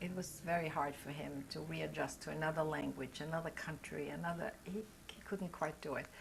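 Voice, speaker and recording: In a German-speaking European accent, a woman speaks at a moderate pace. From Austria and Belgium. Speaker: Holocaust survivor. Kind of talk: oral history interview.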